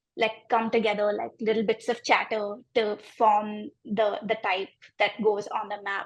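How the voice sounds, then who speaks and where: A woman with an Indian accent speaks at a fairly slow pace. Her intonation stays fairly even over a quiet background. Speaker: graphic designer. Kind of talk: interview about own design project. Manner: many fillers and hesitations (um, like).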